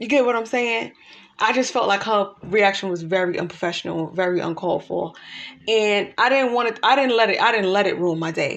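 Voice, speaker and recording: A woman's normal speaking voice at a medium pitch, with ordinary pitch variation and a fairly quick pace. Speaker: life coach. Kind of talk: casual talk to camera.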